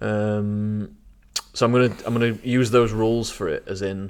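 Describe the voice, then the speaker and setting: A man's fairly low, flat, monotone voice with a British accent at a moderate pace. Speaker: podcast host. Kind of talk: casual chat. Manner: hesitant, filler-heavy.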